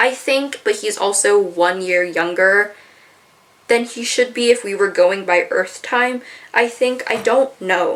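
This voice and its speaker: A woman talks at a fairly slow pace with ordinary pitch variation. Background noise is noticeable. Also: fairly high pitch for a woman. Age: 20s. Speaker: youtuber. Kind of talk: video essay. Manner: casual.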